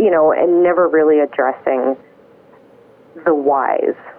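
Noticeable background noise fills the recording. Over it, a woman talks fairly slowly. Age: 40s. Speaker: anxiety support group volunteer. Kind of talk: interview testimony.

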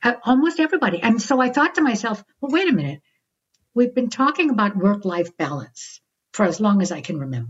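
Somewhat breathy, a woman talks at a fairly quick pace with very wide pitch swings. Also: fairly high pitch for a woman. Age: 60s. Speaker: psychologist and author. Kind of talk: interview.

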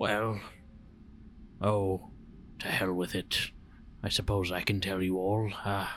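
Against clear background noise, a man puts on a character voice, fairly low in pitch and monotone, moving at a fairly slow pace with long, frequent pauses. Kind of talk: earnest fantasy roleplay. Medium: actual play. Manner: measured, gentle, slightly halting with hesitations.

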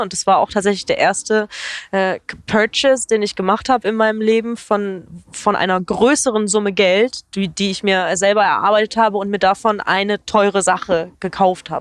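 A woman with an unremarkable speaking voice, medium pitch, fairly even intonation and a moderate pace, in a dry, close sound with no echo. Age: 20s. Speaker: YouTuber. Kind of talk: casual chat.

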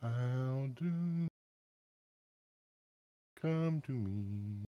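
This is a put-on character voice. Its pitch sits low to middle. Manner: mournful, sorrowful, dirge-like.

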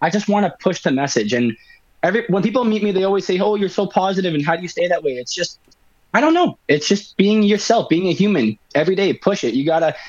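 A very fast-talking man with a Canadian accent, a high pitch and lively intonation. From Winnipeg, Canada. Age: 20s. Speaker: rapper. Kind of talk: interview.

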